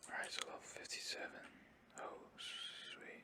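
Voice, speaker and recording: A man whispers. His pace is very slow. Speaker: ASMR gaming streamer. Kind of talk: casual gameplay commentary. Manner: whispered, soft-spoken.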